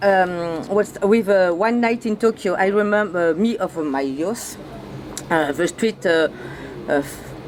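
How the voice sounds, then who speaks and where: A woman speaks with a French accent at a fairly slow pace, her pitch medium with ordinary variation. Noticeable background noise runs under her voice. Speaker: radio interviewer. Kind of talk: interview. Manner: halting.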